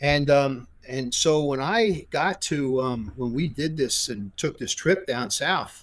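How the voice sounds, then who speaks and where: Someone with a New York accent talks at a very slow pace with lively intonation. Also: man, fairly high pitch for a man. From New York (Brooklyn). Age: 70s. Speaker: former prosecutor and attorney. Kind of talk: interview conversation. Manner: halting, many fillers and restarts.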